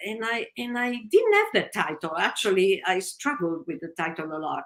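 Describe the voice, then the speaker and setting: A woman with an Italian accent talks with vocal fry. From Italy, Naples. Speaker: novelist. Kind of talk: interview.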